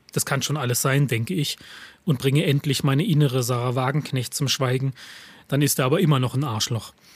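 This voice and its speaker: A man with an ordinary speaking voice talks at a moderate pace. His pitch is fairly high and varies in an ordinary way. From eastern Germany, Lusatia (Saxony). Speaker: writer and stage reader. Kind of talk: reading aloud own texts.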